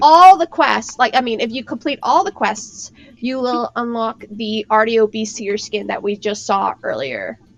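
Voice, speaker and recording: A woman's fairly high, vocal-fry voice at a fairly slow pace, with lively intonation and a dry, close sound free of echo. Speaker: game developer staff explaining an event. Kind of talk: casual explainer on a livestream show.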